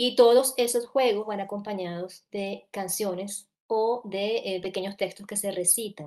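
Against a quiet background, a woman speaks at a medium pitch in a dark, mellow tone. Her pace is fairly slow with hardly any pauses, and her intonation fairly even. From coastal Venezuela. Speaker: children's literature researcher and author; speaker. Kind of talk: panel discussion. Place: home room. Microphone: earbuds.

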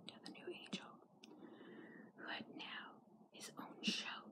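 The woman speaks in a whisper. She keeps to a fairly slow pace. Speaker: ASMR vlogger. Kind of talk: ASMR comic reading. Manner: whispered. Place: home room. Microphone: phone near. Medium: read story.

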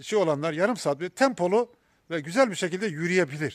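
A man speaks at a moderate pace with a high pitch and lively intonation, in a dry, close sound with no echo on a very clean recording with a silent background. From Ordu, Turkey. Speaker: cancer patient vlogger. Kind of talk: vlog monologue. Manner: halting, many fillers.

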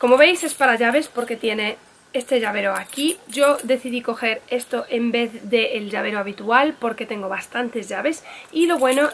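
A woman with a fairly high pitch, vocal fry and a moderate pace

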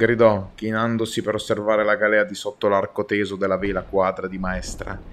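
A man with an unremarkable speaking voice talks at a moderate pace with a fairly low pitch. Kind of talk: audiobook-style reading aloud of a naval adventure novel. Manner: brisk, urgent narration with mounting tension during the battle.

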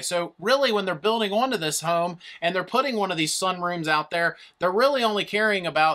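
A man projects a raised voice with a bright, sharp tone at a fairly quick pace. His pitch varies in an ordinary way against a quiet background. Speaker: presenter. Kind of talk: tutorial. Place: studio.

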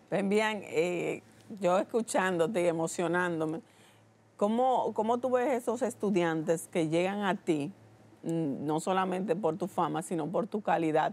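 In a Dominican accent, a woman speaks at a fairly slow pace. Her voice sits at a medium pitch with ordinary pitch variation. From Dominican Republic. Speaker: TV show host. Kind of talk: TV interview. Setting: TV studio. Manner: animated. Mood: warm, admiring, emotional. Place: studio. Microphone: lapel.

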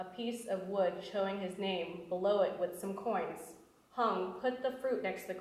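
Ordinary pitch variation in an unforced voice reading aloud.

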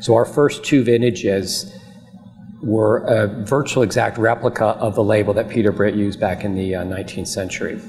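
With faint background noise, a man speaks at a moderate pace and fairly low pitch, his intonation fairly even and his tone slightly mellow.

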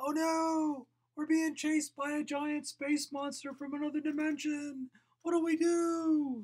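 This put-on character voice is high-pitched and monotone, moving at a moderate pace with flat intonation. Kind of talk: comic overacting. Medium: solo performance. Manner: panicked, urgent.

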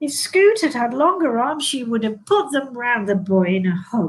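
A woman speaks with a fairly high pitch and lively intonation. Her voice has a slightly husky edge. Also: moderate pace.

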